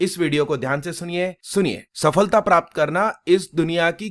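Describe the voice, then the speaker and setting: A high-pitched male voice with ordinary pitch variation, in a very clean recording with a silent background and a dry, close sound with no echo. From Gujarat, India. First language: Gujarati (speaking Hindi). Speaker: coaching teacher. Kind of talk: motivational talk.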